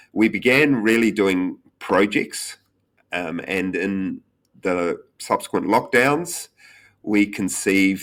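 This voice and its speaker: The recording is very clean, with total silence behind it. A man talks very slowly. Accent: New Zealand. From New Zealand. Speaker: tech company founder and CEO. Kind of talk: podcast interview. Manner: hesitant, many fillers.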